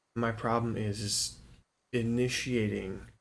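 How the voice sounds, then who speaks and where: Quiet and monotone with flat intonation, a man at a medium pitch talks at a very slow pace amid audible room echo. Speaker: gaming streamer. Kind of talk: gameplay stream commentary. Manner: quiet, subdued; casual, halting with fillers.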